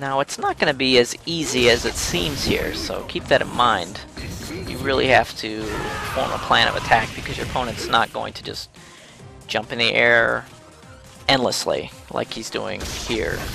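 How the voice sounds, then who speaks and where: A man talks at a moderate speed as music plays in the background. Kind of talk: video game tutorial narration. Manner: casual, joking.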